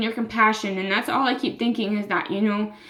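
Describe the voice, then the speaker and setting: Noticeable background noise behind speech in an American accent. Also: woman. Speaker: vlogger. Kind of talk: personal vlog. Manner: halting, many fillers.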